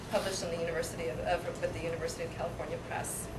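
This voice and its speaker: A woman speaks over loud background noise. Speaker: bookshop event host. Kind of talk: welcome and announcements. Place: shop. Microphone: pa.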